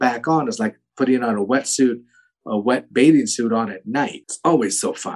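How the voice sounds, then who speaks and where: Using an unremarkable speaking voice, a man talks at medium pitch and a moderate tempo with ordinary pitch variation. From US West Coast. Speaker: actor. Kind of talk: casual interview.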